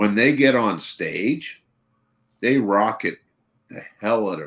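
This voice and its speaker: This man talks at a very slow pace in a medium pitch, with ordinary pitch variation and big swings in loudness. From Canada. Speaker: live stream panel regular. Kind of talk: casual chat. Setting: live stream.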